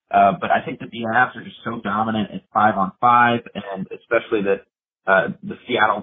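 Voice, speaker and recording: With an American accent, a man talks at a moderate pace in a normal speaking voice, his pitch fairly low and his intonation fairly even. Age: 20s. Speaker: sports commentator. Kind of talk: casual chat.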